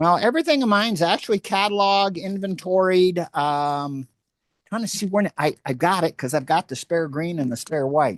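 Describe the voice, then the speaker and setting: Loud, lively speech at a moderate pace, with a dry, close sound, no echo and a quiet background. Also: man, high pitch for a man. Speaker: fly tier. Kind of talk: casual chat. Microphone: too close to the mic.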